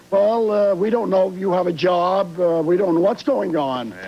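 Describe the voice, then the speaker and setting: Noticeable background noise is present. The pace stays moderate. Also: man. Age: 70s. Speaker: retired auto worker. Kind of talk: talk show audience testimony. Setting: TV studio with audience. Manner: halting.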